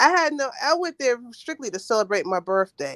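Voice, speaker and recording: This woman talks at a moderate pace with an American accent. Her pitch swings very widely. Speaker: caller on a diaspora travel live stream. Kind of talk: casual chat. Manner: halting.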